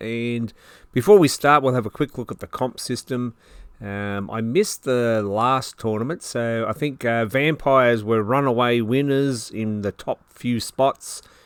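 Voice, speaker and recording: Speaking in an Australian accent, a man talks at a moderate pace and medium pitch with fairly even intonation and a dry, close sound with no echo. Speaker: tabletop wargamer. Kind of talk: battle report commentary. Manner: casual.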